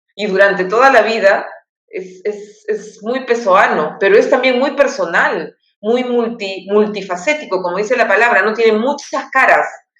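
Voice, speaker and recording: A woman's fairly high voice at a moderate pace, ordinary pitch variation, and audible room echo. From Peru. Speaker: poet. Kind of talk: interview. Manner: halting.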